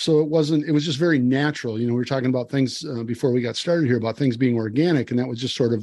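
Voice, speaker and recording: Against a quiet background, a man with an Upper Midwest accent talks in a relaxed tone with lively intonation. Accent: Upper Midwest American. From Wisconsin, US Midwest. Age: 60s. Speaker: farmer and conservationist. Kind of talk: podcast interview. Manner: relaxed, conversational with fillers.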